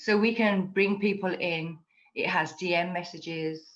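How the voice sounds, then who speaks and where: Her intonation fairly even, a woman speaks with a British accent. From England. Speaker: community ambassador. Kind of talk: casual chat.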